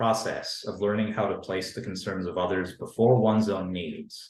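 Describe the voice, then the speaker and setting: A man speaks in a somewhat breathy voice. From Canada. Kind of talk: academic panel talk. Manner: formal.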